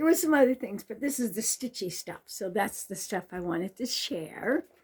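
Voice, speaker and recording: This woman's fairly high, somewhat breathy voice moves at a moderate pace, with very wide pitch swings and big shifts in loudness. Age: 70s. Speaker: stitching vlogger. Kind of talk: casual show-and-tell vlog. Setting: home craft room.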